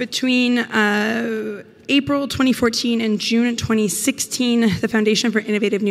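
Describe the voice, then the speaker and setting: Against noticeable background noise, a woman with a fairly high pitch speaks at a moderate pace and fairly even intonation. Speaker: PhD student presenting research. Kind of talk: conference talk.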